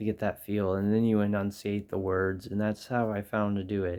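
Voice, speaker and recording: On a very clean recording with a silent background, a soft-spoken man with a fairly low pitch talks at a moderate pace in a monotone, flat intonation. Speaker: music vlogger. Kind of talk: tutorial. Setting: in bedroom at home. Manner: halting.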